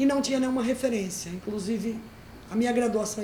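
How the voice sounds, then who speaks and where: A woman's fairly high voice amid noticeable background noise and audible room echo. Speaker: librarian teaching an online course. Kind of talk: lecture.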